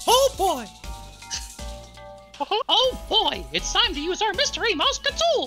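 A put-on character voice speaks at an extremely high pitch and a fairly slow pace. Clear music plays in the background. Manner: cheerful, excited.

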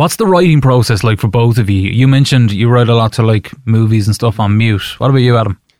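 Very fast speech with hardly any pauses, very even loudness and ordinary pitch variation. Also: man, medium pitch for a man. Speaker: podcast host. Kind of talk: casual interview chat.

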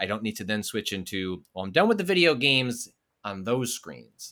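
A man's bright, sharp tone at a fairly low pitch and moderate pace, on a very clean recording with a silent background. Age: 30s. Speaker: games journalist and newsletter writer. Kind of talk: casual interview chat.

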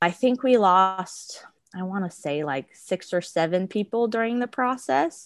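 A woman speaks in an unremarkable speaking voice at a medium pitch with lively intonation. The recording is very clean, with a silent background. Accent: American. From Arizona, US. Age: 20s. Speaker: flight attendant. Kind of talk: interview.

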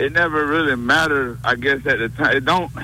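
A man talks at a fairly quick pace with medium pitch and ordinary pitch variation. Noticeable background noise sits behind him. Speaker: caller.

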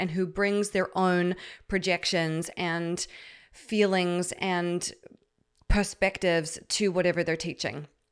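A woman of medium pitch speaks at a fairly slow pace on a very clean recording with a silent background. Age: 30s. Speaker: podcast host and healing coach. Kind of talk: solo podcast monologue. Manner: animated.

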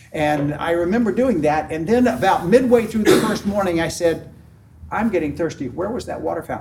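A man with a high pitch and lively intonation speaks at a fairly quick pace over noticeable background noise. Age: 70s. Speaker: small group leader. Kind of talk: conference workshop talk. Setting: conference room with audience.

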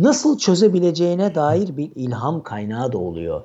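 The man speaks with lively intonation. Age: 40s. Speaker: HR professional and author. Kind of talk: casual interview. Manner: hesitant, many fillers. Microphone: sounds very good.

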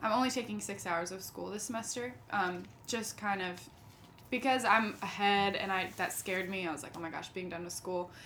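A woman speaks at medium pitch with ordinary pitch variation and a bright, sharp tone, with audible room echo around her. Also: fairly quick pace. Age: 20s. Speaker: singer-songwriter. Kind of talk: casual chat.

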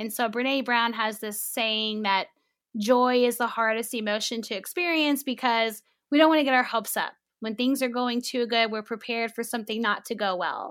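In a normal speaking voice, a woman speaks at a moderate pace with fairly high pitch and fairly even intonation on a very clean recording with a silent background. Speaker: sex therapist. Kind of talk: advice-giving interview chat.

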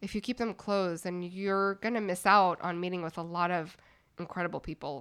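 A Canadian woman's voice, a plain, everyday voice, medium in pitch with fairly even intonation and a fairly quick pace, on a very clean recording with a silent background. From Montreal, Canada. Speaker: venture capital investor. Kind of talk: interview.

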